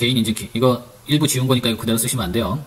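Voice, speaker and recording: A man speaks very quickly at a medium pitch, his pitch moving in an ordinary way. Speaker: high school teacher. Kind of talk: tutorial. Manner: slurred at times.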